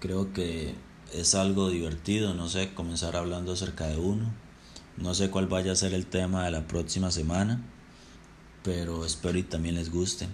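A fairly slow pace, in a Costa Rican accent, with audible room echo. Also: man. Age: 20s. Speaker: podcaster. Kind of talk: personal storytelling monologue. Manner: casual.

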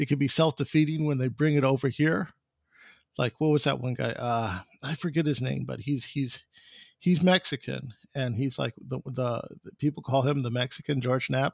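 Speaking at a moderate pace in an American accent, a man with an unremarkable speaking voice has a medium pitch and ordinary pitch variation, recorded dry and close with no echo. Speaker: podcast host. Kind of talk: casual interview chat.

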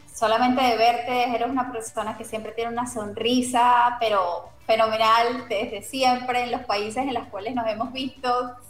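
A high-pitched woman's voice, monotone and flat, at a moderate pace with hardly any pauses, plus noticeable background noise and audible room echo. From Venezuela, Caracas. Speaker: radio host. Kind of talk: interview.

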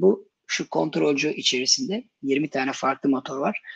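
A man speaks in a plain, everyday voice. His pitch is fairly high with ordinary variation. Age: 40s. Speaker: software developer. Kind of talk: casual chat.

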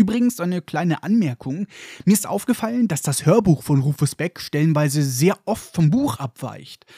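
Speaking at a moderate pace, a man with a fairly high pitch and a dark, mellow tone uses lively intonation, captured in a very clean recording with a silent background and a dry, close sound with no echo. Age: 20s. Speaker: podcast host. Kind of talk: book discussion podcast with narration. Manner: animated.

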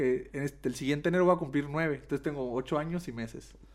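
Very fast talk from a man with a Mexican accent and ordinary pitch variation. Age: 20s. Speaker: martial artist. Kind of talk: casual chat.

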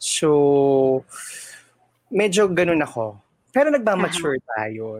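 Long, frequent pauses break up a woman's fairly slow speech, which has a very deep, low pitch and very wide pitch swings. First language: Tagalog. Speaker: theater stage manager. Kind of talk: casual interview. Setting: video call.

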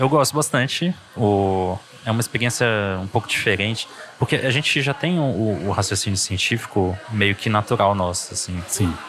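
A man's fairly low-pitched voice against noticeable background noise. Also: ordinary pitch variation, moderate pace. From Brazil (Pará and Goiás). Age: 30s. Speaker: scientist and science podcaster. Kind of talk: casual interview conversation. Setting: café at a university library.

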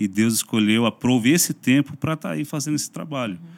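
A man speaks at a medium pitch in an ordinary speaking voice. His intonation is lively. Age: 40s. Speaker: pastor and YouTuber. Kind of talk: casual interview chat.

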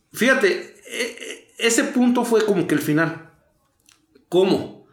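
The speaker's intonation is lively and the pace moderate. Room echo is audible. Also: man. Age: 40s. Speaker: recovering addict. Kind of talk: testimony.

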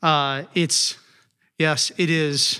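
Bright and sharp in tone, a man speaks at a fairly high pitch with fairly even intonation on a very clean recording with a silent background. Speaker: missionary. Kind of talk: casual interview. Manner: halting, filler-heavy.

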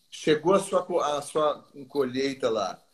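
The man speaking has a fairly high pitch. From Brazil. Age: 50s. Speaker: textile importer. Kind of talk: interview. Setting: live stream. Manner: halting, many repetitions.

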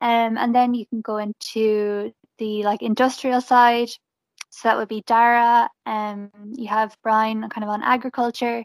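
In a western Irish accent, the voice moves at a fairly slow pace with monotone, flat intonation and a dry, close sound with no echo. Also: woman. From Galway, Ireland. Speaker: graduate market executive. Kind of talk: casual chat.

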